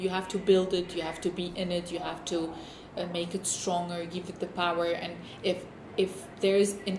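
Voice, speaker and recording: A woman with a non-native accent talks at a moderate pace, with noticeable background noise and audible room echo. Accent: noticeable foreign. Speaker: documentary interviewee. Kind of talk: interview testimony. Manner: halting.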